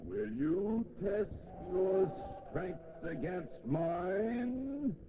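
A man in a put-on character voice at a high pitch and very slow pace, with clear background noise. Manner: howling, challenging.

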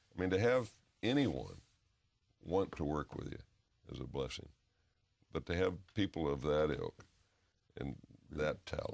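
A man with a very deep, low pitch and vocal fry speaks at a moderate pace. His pitch swings very widely, and he takes long, frequent pauses. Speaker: interview guest, actor. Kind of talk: interview answer. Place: studio. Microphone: lapel.

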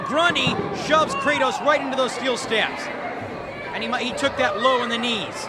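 Loud background noise runs under a dry recording with no echo. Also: man, moderate pace. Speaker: wrestling commentator. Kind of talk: live wrestling play-by-play commentary. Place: hall.

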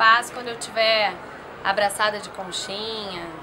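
With noticeable background noise behind, the speech moves at a moderate pace. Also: woman. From southern Brazil, Rio Grande do Sul (Santa Cruz do Sul); Rio Grande do Sul, Brazil. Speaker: interviewee. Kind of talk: casual interview. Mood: relaxed, reflective. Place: garden.

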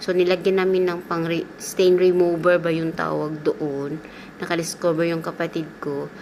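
Against noticeable background noise, a woman with a Philippine accent speaks at a moderate pace in a fairly low pitch with monotone, flat intonation. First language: Cebuano (speaking Tagalog). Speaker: domestic helper vlogger. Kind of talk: vlog voice-over. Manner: casual chatty.

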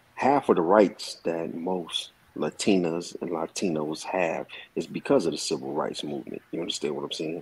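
A man with an American accent, a very deep, low pitch, vocal fry and ordinary pitch variation. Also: moderate pace. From Compton, California; California. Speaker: commentator. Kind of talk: heated debate. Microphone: video call.

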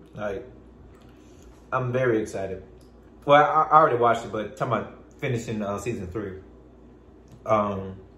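With a bright, sharp tone and ordinary pitch variation, a man speaks at a moderate pace with long, frequent pauses and big swings in loudness, with audible room echo. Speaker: YouTube vlogger. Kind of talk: casual chat. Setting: home, filming himself while eating. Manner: rambling, halting. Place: home room. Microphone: phone near.

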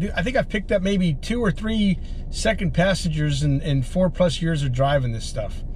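Over light background noise, a man speaks at a moderate pace with very wide pitch swings. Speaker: rideshare driver vlogger. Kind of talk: casual vlog chat. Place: car. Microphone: camera far.

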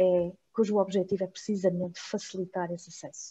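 Against a quiet background, a woman of medium pitch talks at a moderate pace with a dark, mellow tone. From Mozambique, lives in Porto. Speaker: master's researcher presenting thesis; presenter. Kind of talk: academic presentation. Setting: video call. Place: home room. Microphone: video call.

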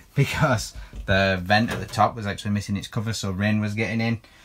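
At a very fast pace, a man talks with fairly even intonation. His pitch is fairly low. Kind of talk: casual vlog tour. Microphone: phone near.

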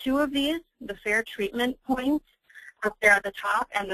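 Heard in a dry, close sound with no echo, a woman's bright, sharp tone shows ordinary pitch variation. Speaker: reproductive justice advocate, lawyer. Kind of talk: webinar presentation. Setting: webinar call.

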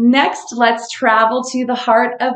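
A woman at a very slow pace, with a quiet background and audible room echo. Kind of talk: casual live-stream recommendations.

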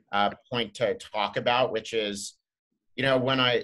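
Speaking with an American accent, a man at medium pitch has a bright, sharp tone and a moderate pace. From Southern California. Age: 30s. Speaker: drinks company founder. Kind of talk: interview. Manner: many fillers and restarts.

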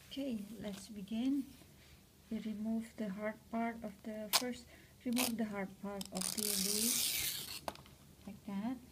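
Amid loud background noise, a woman speaks at a very slow pace in a monotone, flat intonation, with long, frequent pauses. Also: fairly high pitch for a woman. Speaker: cooking and craft tutorial maker. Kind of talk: tutorial. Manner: halting. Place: home room. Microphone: phone near.

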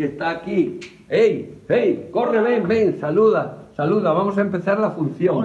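Room echo is audible. A man speaks at a fairly slow pace. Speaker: stage actor. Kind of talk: casual vlog chat.

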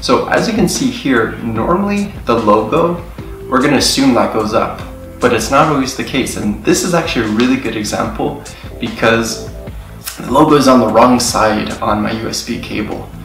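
A man talks at a moderate pace. Audible room echo surrounds his voice, and clear music plays in the background. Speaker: tech video host. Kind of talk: tutorial. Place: home room.

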